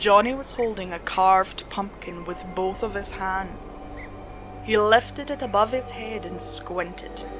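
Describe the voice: Over clear music in the background, a woman speaks slowly at a medium pitch with ordinary pitch variation.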